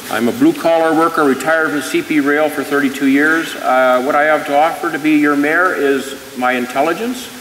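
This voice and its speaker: A man with a Canadian accent talks at a moderate pace in a fairly high pitch, with fairly even intonation. Noticeable background noise and audible room echo come through. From British Columbia, Canada. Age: 60s. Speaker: retired rail worker running for mayor. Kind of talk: candidate forum speech. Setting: stage with audience.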